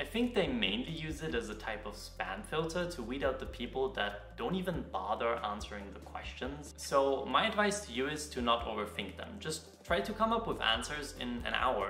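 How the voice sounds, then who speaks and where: Over light background noise and audible room echo, a man talks with hardly any pauses. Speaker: university student vlogger. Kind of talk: casual vlog chat. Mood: relaxed, wry humor. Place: home room.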